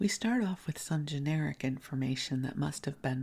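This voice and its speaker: A woman's very deep, low voice with vocal fry, a dark, mellow tone and a moderate pace. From US Midwest, Chicago. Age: 60s. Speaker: podcast host, spiritual teacher. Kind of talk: bedtime podcast storytime, casual reminiscence. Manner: soft-spoken; conversational.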